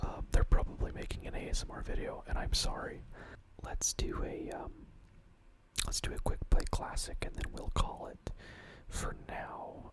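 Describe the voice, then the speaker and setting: Whispering at a moderate pace, the speaker shows big swings in loudness and long, frequent pauses over noticeable background noise. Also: man. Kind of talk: ASMR whispered ramble while gaming. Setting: late-night home recording with keyboard and mouse sounds. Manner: soft-spoken, whispered, rambling, hesitant.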